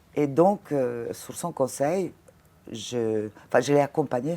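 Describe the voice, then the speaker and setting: With a very deep, low pitch and ordinary pitch variation, a woman speaks in a dark, mellow tone. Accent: Italian. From Italy, Ravenna. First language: Italian (speaking French). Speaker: former fashion model and casting director. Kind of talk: interview conversation. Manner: halting, frequent hesitations.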